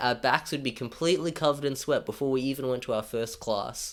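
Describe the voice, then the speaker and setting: Talking at a very fast pace, a man with a strong Australian accent keeps a medium pitch and ordinary pitch variation. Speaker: YouTuber. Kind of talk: scripted narration.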